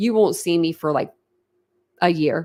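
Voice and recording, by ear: The voice moves at a moderate pace with a slightly mellow tone. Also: woman.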